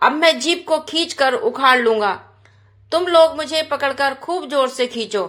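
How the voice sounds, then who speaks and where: A woman does a put-on character voice at a high pitch, with growling. She speaks at a moderate pace. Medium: read story.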